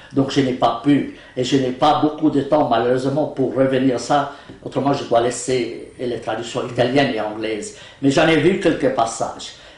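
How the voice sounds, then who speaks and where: A man with an Arabic accent speaks at a moderate pace and medium pitch with ordinary pitch variation, amid audible room echo and noticeable background noise. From West Bank, Palestine. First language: Arabic (speaking French). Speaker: law professor and Quran translator. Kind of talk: interview.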